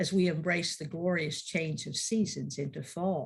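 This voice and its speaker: A woman speaks with a fairly low, somewhat breathy voice. Her pace is moderate. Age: 70s. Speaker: minister. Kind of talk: sermon.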